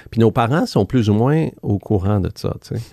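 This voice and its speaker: A man speaks with lively intonation at a moderate pace. His tone is dark and mellow. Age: 50s. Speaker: former Wall Street executive turned spiritual author. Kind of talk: casual interview. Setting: studio.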